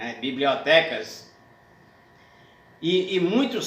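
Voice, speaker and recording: Over noticeable background noise, a man with a northeastern Brazilian accent speaks in a high pitch that swings very widely. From Paraíba, Northeast Brazil. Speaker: poet, cordel writer and declaimer. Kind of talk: interview answer.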